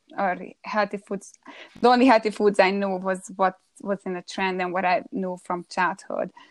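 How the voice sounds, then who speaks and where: Recorded dry and close with no echo, a woman with a Hungarian accent speaks in fairly even intonation. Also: medium pitch for a woman, moderate pace. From Hungary. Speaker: holistic food coach. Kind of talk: interview, personal story. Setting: live stream broadcast.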